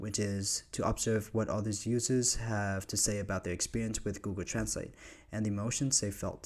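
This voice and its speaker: A man with a Vietnamese accent at a fairly low pitch and a moderate pace, on a very clean recording with a silent background. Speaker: university student. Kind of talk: scripted narration.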